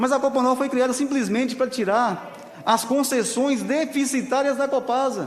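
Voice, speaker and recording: Over noticeable background noise, a man with a northern Minas Gerais accent speaks at an extremely high pitch and a moderate pace, his loudness very even and his intonation fairly even. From Brazil, northern Minas Gerais (Salinas). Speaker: union leader. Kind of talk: public hearing testimony.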